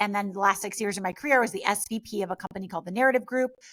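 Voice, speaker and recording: At a very fast pace, a woman speaks with a medium pitch. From US Northeast (Westchester NY, Greenwich CT). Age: 40s. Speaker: mindset coach and influencer. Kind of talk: interview.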